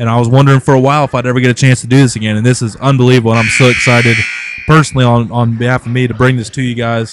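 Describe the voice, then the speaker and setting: Over noticeable background noise, a man speaks in a flat monotone at a medium pitch. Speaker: high school basketball play-by-play announcer. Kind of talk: live sports commentary; casual chat. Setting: broadcast booth at gym.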